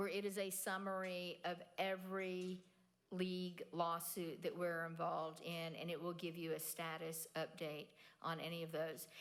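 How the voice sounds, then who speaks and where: A woman speaks at a moderate pace with a fairly low pitch and monotone, flat intonation. Audible room echo surrounds her voice. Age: 60s. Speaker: nonprofit president and keynote speaker. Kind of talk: audience Q&A. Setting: stage with audience.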